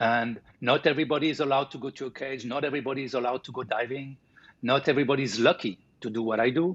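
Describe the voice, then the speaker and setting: Talking at a very fast pace, a man speaks with a French accent. His intonation stays fairly even. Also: medium pitch for a man. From France (Paris). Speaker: sculptor. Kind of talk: interview. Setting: live stream interview. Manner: halting.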